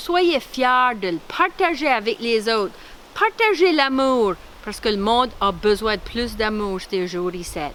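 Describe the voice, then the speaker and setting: A woman with an Acadian accent speaks at a very slow pace. Her fairly high pitch moves in very wide swings. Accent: Baie Sainte-Marie Acadian French. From Acadian Nova Scotia (Clare, Baie Sainte-Marie). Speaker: artist and retired police officer presenting her culture. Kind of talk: cultural presentation. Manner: animated.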